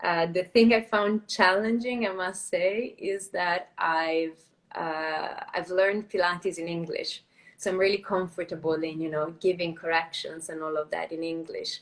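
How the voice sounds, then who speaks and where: A woman speaks at a moderate pace with an Italian accent. Her pitch sits in the medium range, and her intonation stays fairly even. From Italy. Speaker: Pilates and yoga teacher. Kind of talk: casual interview. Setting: live video stream.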